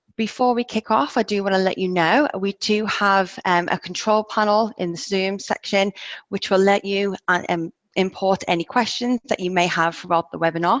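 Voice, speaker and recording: Against a quiet background, a woman with an English accent speaks at a moderate pace and medium pitch with fairly even intonation, the sound dry and close with no echo. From England. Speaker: project manager, webinar host. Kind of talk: webinar presentation. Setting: video call webinar.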